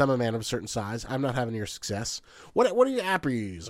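A man speaks at a very fast pace. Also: very clean recording, silent background. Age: 30s. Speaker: YouTuber. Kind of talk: casual chat.

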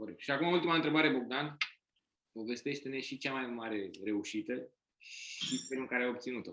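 This man's voice sits at a medium pitch and has a bright, sharp tone. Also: ordinary pitch variation, moderate pace. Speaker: podcast co-host, author. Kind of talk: casual interview.

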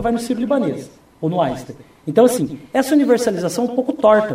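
A man at a very fast pace with lively intonation, noticeable background noise behind him. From Brazil, Foz do Iguaçu (Paraná). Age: 30s. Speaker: mayoral candidate and teacher. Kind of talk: radio interview. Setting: radio studio.

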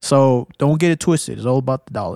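With a dry, close sound and no echo, a man speaks at a very fast pace. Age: 30s. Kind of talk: casual chat.

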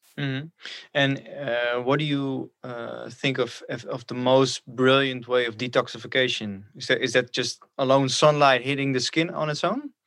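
On a very clean recording with a silent background, a man speaks at a medium pitch with a Dutch accent. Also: moderate pace. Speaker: podcast host. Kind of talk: interview. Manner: halting.

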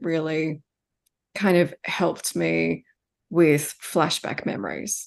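The voice carries vocal fry. The background is quiet. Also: woman. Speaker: hypnotherapist. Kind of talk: interview conversation.

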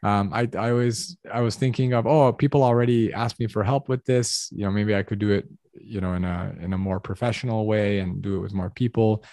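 A man with a Californian accent speaks at a fairly quick pace, fairly low in pitch with ordinary pitch variation. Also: dry, close sound with no echo, quiet background. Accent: General American (California). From Los Angeles, US. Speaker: academic admissions consultant. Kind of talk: casual interview.

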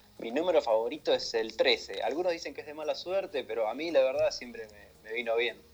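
Over noticeable background noise, a man with an Argentine accent talks at a very fast pace. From Argentina. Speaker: game modding community admin. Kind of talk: casual radio interview.

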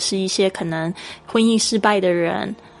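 Through noticeable background noise, a woman speaks at a medium pitch. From Taiwan. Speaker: English teacher podcaster. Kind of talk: language lesson.

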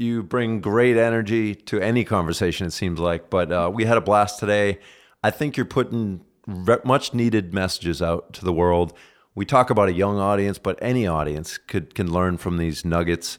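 This man has a plain, everyday voice at a fairly low pitch. He speaks at a moderate pace. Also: ordinary pitch variation, very clean recording, silent background. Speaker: podcast host. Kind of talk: casual interview. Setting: studio.

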